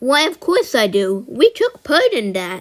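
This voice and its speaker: A woman in a put-on character voice, pitched high and swinging very widely up and down. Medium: audio drama. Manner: gentle, warm.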